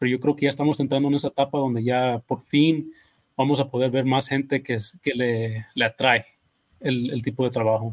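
Here a man speaks at a moderate pace and medium pitch. His intonation is monotone and flat. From California, Mexican family. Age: 30s. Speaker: landscaping business owner. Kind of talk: casual chat.

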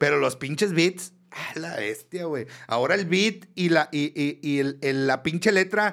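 This is an ordinary speaking voice at a fairly slow pace with hardly any pauses. Its pitch varies an ordinary amount. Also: man, fairly high pitch for a man. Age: 30s. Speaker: podcast co-host. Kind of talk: casual chat.

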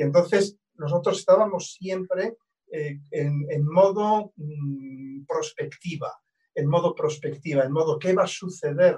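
Speaking at a fairly slow pace, a man uses a high voice. His delivery stays unhurried. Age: 60s. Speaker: astrologer. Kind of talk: casual interview conversation.

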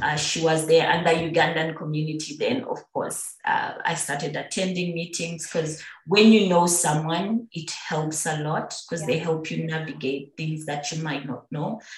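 A woman at a fairly low pitch and moderate pace, fairly even intonation, with audible room echo and noticeable background noise. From Uganda, Busoga. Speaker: expat professional in development. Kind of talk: interview.

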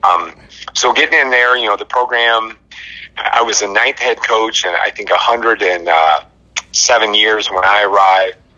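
Over noticeable background noise, a man talks at a moderate pace, leaving long, frequent pauses. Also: medium pitch for a man, fairly even intonation. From Michigan, Albion. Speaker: high school football coach. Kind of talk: casual interview.

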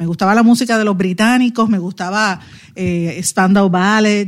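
A woman with a plain, everyday voice at a medium pitch, fairly even intonation and a moderate pace. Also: very clean recording, silent background. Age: 50s. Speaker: radio host and political commentator. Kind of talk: news commentary; casual chat.

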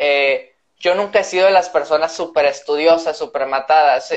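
Intonation stays fairly even at a moderate pace. This is an unremarkable speaking voice. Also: man. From northern Mexico, Reynosa, Tamaulipas. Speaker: doctor and science content creator. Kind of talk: casual chat. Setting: live video stream.

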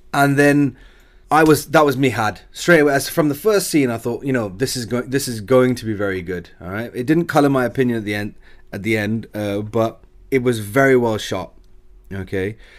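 A man speaks in an ordinary speaking voice at a fairly quick pace. His pitch sits at a medium level with ordinary variation. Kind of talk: casual chat.

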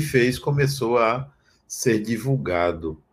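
A man speaks in a normal speaking voice at medium pitch with lively intonation, on a very clean recording with a silent background. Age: 60s. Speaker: spiritual teacher. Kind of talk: spiritual talk.

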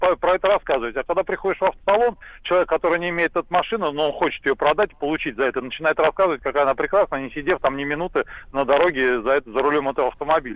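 A man's fairly high voice, very fast and with lively intonation. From Kirov region, Russia. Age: 40s. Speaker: caller. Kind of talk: phone-in call.

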